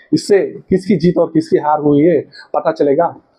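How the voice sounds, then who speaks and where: Ordinary pitch variation in a man's fairly high-pitched voice. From South India. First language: a South Indian language, not Hindi (speaking Hindi). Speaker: history educator, YouTuber. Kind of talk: lecture. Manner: halting, many fillers.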